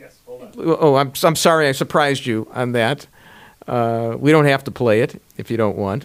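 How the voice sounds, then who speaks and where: At a moderate pace, a man with an American accent speaks at medium pitch with ordinary pitch variation and big swings in loudness. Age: 60s. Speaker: radio broadcaster and podcast host. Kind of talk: casual chat. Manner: animated.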